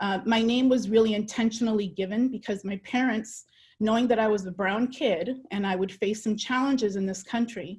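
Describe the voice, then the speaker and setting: A woman speaks at a fairly high pitch with ordinary pitch variation. Her voice is somewhat breathy and her pace is moderate. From El Salvador, moved to US at six. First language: Spanish. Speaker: dual language educator. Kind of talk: personal testimony; webinar presentation. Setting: online webinar.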